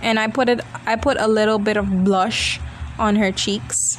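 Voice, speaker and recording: Over noticeable background noise, a woman at medium pitch speaks at a very slow pace with fairly even intonation. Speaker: beauty vlogger. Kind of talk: video voiceover. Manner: casual chatty.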